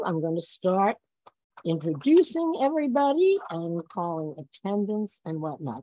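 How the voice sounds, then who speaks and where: A woman speaks with very wide swings in pitch. The background is quiet, and the sound is dry with no echo. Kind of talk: meeting chairing. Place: home room. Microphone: video call.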